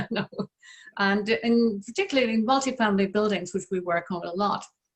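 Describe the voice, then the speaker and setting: A woman speaks at a moderate pace in a somewhat breathy voice with an Irish accent. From west of Ireland. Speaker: interior designer. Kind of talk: panel discussion.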